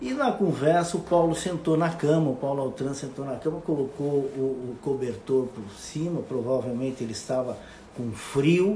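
Against noticeable background noise and audible room echo, a man speaks at a moderate pace with a fairly high pitch. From Brazil, western Santa Catarina. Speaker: radio host. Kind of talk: casual monologue. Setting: Instagram live video. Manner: halting.

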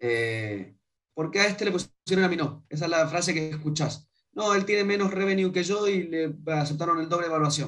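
At a fairly quick pace, a man speaks in a high, animated voice. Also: ordinary pitch variation. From Argentina, Mendoza. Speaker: startup founder. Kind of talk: interview.

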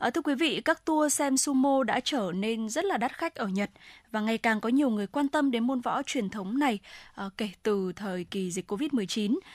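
A woman speaks at a moderate pace with a fairly high pitch and lively intonation. She has a plain, everyday voice. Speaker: radio presenter. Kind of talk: news reading. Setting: studio.

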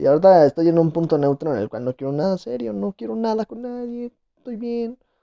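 This man's high pitch makes very wide swings as he talks at a fairly quick pace. His loudness rises and falls in big swings. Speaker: podcast host. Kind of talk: casual chat.

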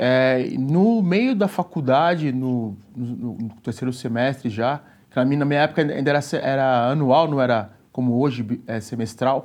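A man's plain, everyday voice at medium pitch, with ordinary pitch variation, a fairly slow pace and a quiet background. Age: 40s. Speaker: personal trainer. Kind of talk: casual chat.

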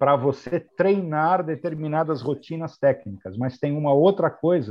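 Speaking at a fairly slow pace, a man with a fairly high pitch has an unremarkable speaking voice. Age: 60s. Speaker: airline pilot and flight training coordinator. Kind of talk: interview.

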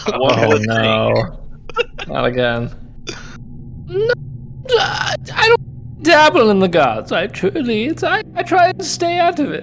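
Long, frequent pauses in a very slow put-on character voice, against clear background noise. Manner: evasive, teasing.

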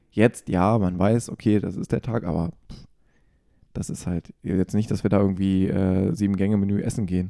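In a dry, close recording with no echo, a man speaks at a moderate pace with a fairly low pitch, a dark, mellow tone and ordinary pitch variation. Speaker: podcast host. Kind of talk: casual chat. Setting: at home.

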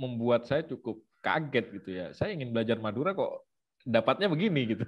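A man's voice moves at a moderate pace with very wide pitch swings. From Situbondo, East Java, Indonesia. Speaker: ethnomusicologist researcher. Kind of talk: online lecture with slides.

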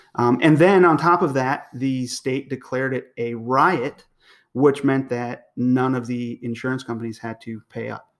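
A man with a normal speaking voice talks at a fairly slow pace and medium pitch, with fairly even intonation. His loudness swings widely, in a very clean recording with a silent background. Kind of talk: casual chat.

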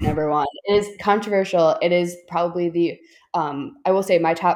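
With an American accent, a woman talks fairly slowly in an ordinary speaking voice, pitched fairly low. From Chicago. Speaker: film critic guest. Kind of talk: casual chat.

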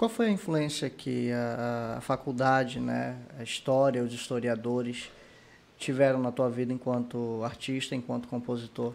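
Fairly slow and fairly even in intonation, a man talks in an ordinary speaking voice at a medium pitch. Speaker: podcast host. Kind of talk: casual interview. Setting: studio, live video stream.

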